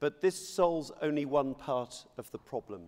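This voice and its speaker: A man speaks at a moderate pace in an ordinary speaking voice, his medium pitch showing ordinary pitch variation. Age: 60s. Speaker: politician. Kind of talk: conference speech. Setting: stage with audience.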